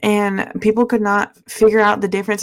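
A woman with a plain, everyday voice, medium pitch and a fairly quick pace. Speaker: podcast host. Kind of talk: casual chat.

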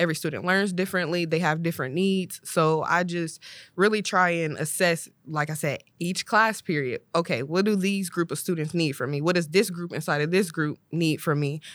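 On a very clean recording with a silent background, a woman with an American accent speaks at a moderate pace, with hardly any pauses. Hers is a plain, everyday voice, fairly low in pitch. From Ohio, Columbus. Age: 20s. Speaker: high school English teacher. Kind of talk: casual chat.

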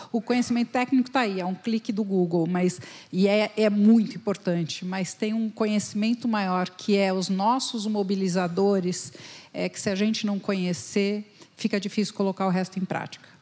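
At a moderate pace, a woman speaks with medium pitch and a dark, mellow tone that is somewhat breathy. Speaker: company founder, HR consultant. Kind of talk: panel discussion. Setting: stage with audience.

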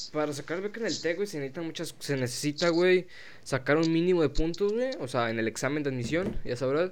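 A man's words come at a very fast pace. The intonation he uses is lively. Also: fairly high pitch for a man. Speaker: podcast host. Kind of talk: casual chat.

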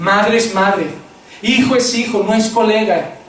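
A man with a high pitch speaks at a moderate pace with fairly even intonation, amid audible room echo and noticeable background noise. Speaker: pastor. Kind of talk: sermon.

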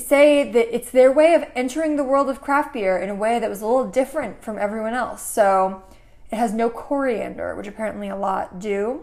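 A woman with an American accent talks at a fairly quick pace in an unremarkable speaking voice, her fairly high pitch showing ordinary variation and her loudness swinging widely. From Connecticut, US. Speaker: podcast co-host. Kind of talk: casual chat.

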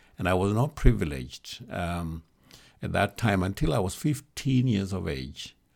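With a Kenyan accent, a man speaks in a very deep, low pitch. His intonation is lively, and his pace is moderate. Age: 70s. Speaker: bishop, church leader. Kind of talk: interview conversation.

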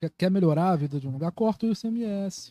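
A man talks at a moderate pace. His pitch is high, and his tone is dark and mellow. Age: 20s. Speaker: journalist and political activist. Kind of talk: casual podcast conversation.

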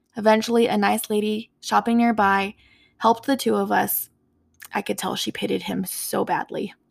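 A woman talks with an American accent at a moderate pace. The recording is very clean, with a silent background. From US Southwest, Four Corners area of New Mexico. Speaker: podcast host. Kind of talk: solo personal monologue.

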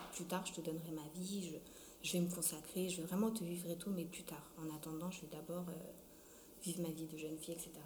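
There is noticeable background noise and audible room echo. Through it, a woman speaks in a fairly low voice. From France (arrived from Congo at 6). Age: 20s. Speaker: student with sickle cell disease. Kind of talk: testimony.

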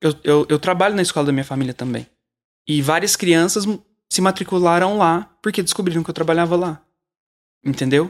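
A fairly quick pace broken by long, frequent pauses, with ordinary pitch variation, in a very clean recording with a silent background. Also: man, high pitch for a man. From Brazil, Uberlândia, Minas Gerais. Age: 30s. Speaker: children's composer and musician. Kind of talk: casual interview chat.

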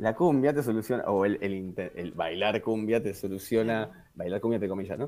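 Speaking with a Rioplatense accent, a man keeps a moderate pace with hardly any pauses, his fairly low voice dark and mellow in tone. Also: ordinary pitch variation. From Argentina, Quilmes (Buenos Aires south). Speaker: musician. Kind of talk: casual interview.

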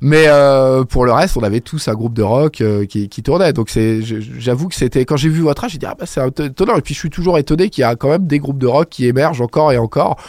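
An unremarkable speaking voice from a man at medium pitch, fairly quick with hardly any pauses and ordinary pitch variation, dry and close with no echo. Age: 30s. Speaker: radio host. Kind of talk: interview; radio music show.

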